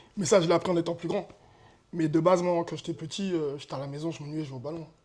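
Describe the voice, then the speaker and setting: This man has a high voice and speaks very fast in an animated tone. His loudness rises and falls in big swings. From France, Eure-et-Loir and Tours area. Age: 30s. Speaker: amateur football player. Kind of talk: interview. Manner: casual, animated.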